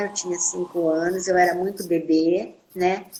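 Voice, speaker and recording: A fairly slow delivery in an ordinary speaking voice. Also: woman. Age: 60s. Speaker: nurse. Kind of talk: testimony. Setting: live video stream.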